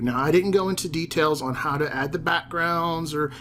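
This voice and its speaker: A fairly high-pitched man in a Southern accent, with ordinary pitch variation. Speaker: teacher and ed-tech YouTuber. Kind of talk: tutorial. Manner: casual, with fillers.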